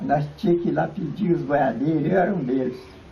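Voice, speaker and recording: Fairly high male speech at a moderate pace, ordinary pitch variation, audible room echo all around. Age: 80s+. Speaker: local elderly resident, former cattle drover. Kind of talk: interview reminiscence. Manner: halting.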